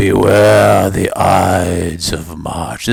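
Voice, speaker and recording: This man puts on a character voice. His pitch is very deep and low. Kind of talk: archaic, dramatic. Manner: theatrical, ominous warning.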